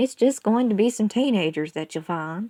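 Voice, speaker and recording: A put-on character voice comes through on a very clean recording with a silent background. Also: female-sounding voice. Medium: read story. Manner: folksy, firm.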